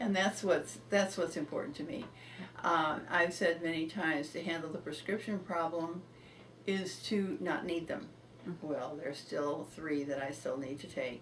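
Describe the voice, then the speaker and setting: A woman with a fairly low pitch speaks at a moderate pace with ordinary pitch variation. Noticeable background noise runs under her voice. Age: 80s+. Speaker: healing client giving testimonial. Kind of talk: interview answer.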